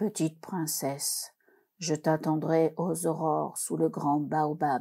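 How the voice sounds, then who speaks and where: Putting on a growling character voice, a woman speaks fairly slowly at a very deep, low pitch. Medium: read story. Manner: low, growling.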